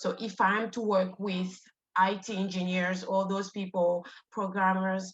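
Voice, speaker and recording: A woman at a medium pitch speaks fairly slowly in a monotone, flat intonation, sounding somewhat breathy. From Congo. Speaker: student. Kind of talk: self-introduction in class.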